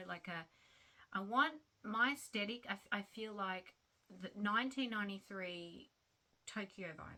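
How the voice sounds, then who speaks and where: A woman with a strong Australian accent speaks at a fairly slow pace and medium pitch. Her tone is bright and sharp, with big swings in loudness. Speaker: crochet vlogger. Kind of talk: casual chat. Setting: home at night. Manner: halting.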